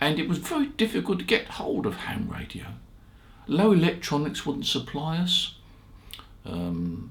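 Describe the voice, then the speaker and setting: Vocal fry runs through a relaxed tone that takes very wide pitch swings at a moderate pace, with audible room echo. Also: man. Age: 80s+. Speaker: ham radio shop founder and video host. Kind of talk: casual storytelling monologue. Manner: relaxed, conversational with fillers.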